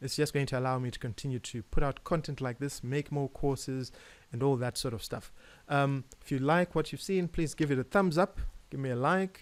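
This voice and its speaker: A man with a Zimbabwean accent talks at a fairly quick pace and a fairly high pitch. The recording is very clean with a silent background, and his pitch varies in an ordinary way. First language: Shona. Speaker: jazz pianist and educator. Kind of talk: tutorial. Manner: hesitant, many fillers and repeats.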